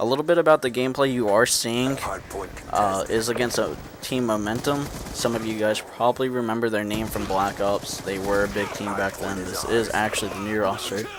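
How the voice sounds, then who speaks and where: There's noticeable background noise as a man speaks at medium pitch with ordinary pitch variation. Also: fairly quick pace. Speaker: competitive gamer commentating own team's gameplay. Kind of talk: casual video commentary.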